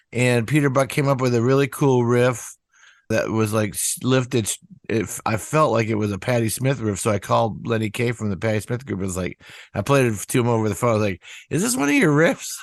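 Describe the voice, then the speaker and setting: The background is quiet as a man speaks at a fairly quick pace. He has a medium pitch and ordinary pitch variation. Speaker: rock singer-songwriter. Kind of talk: interview. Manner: halting.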